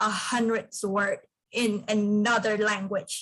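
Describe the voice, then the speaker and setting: At a very slow pace and with fairly even intonation, a woman speaks with a Vietnamese accent. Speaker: student peer leader. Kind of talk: workshop sharing.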